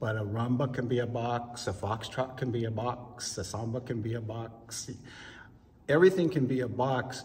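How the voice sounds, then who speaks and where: A man with an American accent talks at a medium pitch. His intonation is fairly even, with audible room echo. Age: 60s. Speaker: ballroom dancer. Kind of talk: interview.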